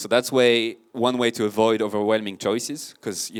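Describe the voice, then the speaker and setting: A man talks at a fairly quick pace with a fairly low pitch. The recording is very clean, with a silent background. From France. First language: French. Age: 30s. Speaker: marketing consultant and podcast host. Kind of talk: conference talk. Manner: casual, animated.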